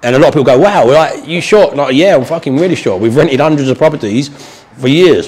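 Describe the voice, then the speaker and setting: Talking at a very fast pace in a southern English accent, a man uses a fairly high pitch with ordinary pitch variation. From southern England. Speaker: property investor and trainer. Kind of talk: tutorial / training session with live call. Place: meeting room.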